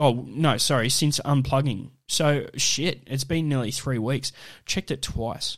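At a fairly slow pace, a man with an Australian accent speaks in fairly even intonation, captured in a very clean recording over a silent background. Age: 30s. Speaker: podcast host. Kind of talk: casual solo monologue. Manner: halting, many fillers.

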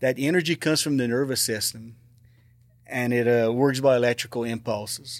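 A man with an American accent talks at a fairly quick pace on a very clean recording with a silent background. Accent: south Louisiana Cajun-tinged English. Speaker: retired teacher and paranormal investigator. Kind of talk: casual interview.

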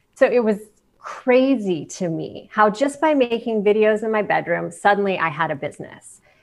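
A woman with a Midwestern American accent, fairly high in pitch, at a moderate pace with lively intonation. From Canton, Ohio. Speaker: television host and video coach. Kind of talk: interview.

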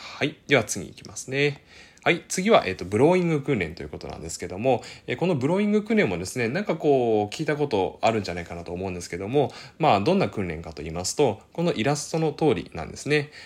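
Very fast delivery with vocal fry, very wide pitch swings and big swings in loudness. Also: man, medium pitch for a man. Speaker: speech-language therapist YouTuber. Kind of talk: educational explainer video. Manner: many filler words, hesitant pauses.

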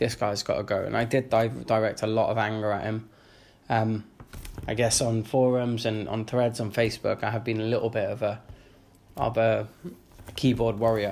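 In a London accent, the speaker keeps a moderate pace and a flat, monotone intonation, with long, frequent pauses. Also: man, medium pitch for a man. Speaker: football podcaster. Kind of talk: casual monologue.

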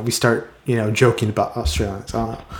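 With an American accent, a man talks fairly quickly in a plain, everyday voice at a medium pitch. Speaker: podcast host. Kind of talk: casual interview chat.

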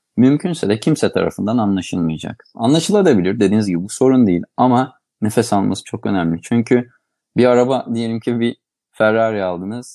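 This man's dark, mellow voice moves at a fairly quick pace with ordinary pitch variation. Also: medium pitch for a man. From Aegean Turkey, İzmir. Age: 40s. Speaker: ENT surgeon and associate professor. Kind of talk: interview.

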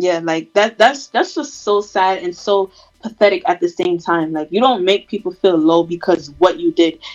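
A woman's ordinary speaking voice at medium pitch, with lively intonation and a moderate pace. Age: 20s. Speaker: podcast co-host. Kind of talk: casual chat. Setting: remote recording, separate locations.

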